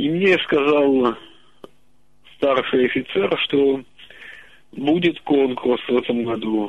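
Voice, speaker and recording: This man's voice sits fairly high in pitch. He talks at a very slow pace. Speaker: regular caller. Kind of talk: casual phone chat. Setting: phone call. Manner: distinctive intonation.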